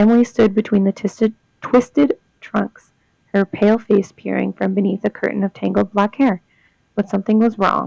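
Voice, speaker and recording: A woman at medium pitch talks at a moderate pace with vocal fry and monotone, flat intonation. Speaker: student. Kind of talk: reading ghost stories aloud. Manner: monotone, disinterested.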